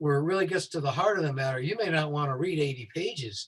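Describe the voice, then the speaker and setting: Somewhat breathy, a man with an American accent speaks at a fairly high pitch with lively intonation. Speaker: safety consultant. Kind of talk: tutorial. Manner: fast.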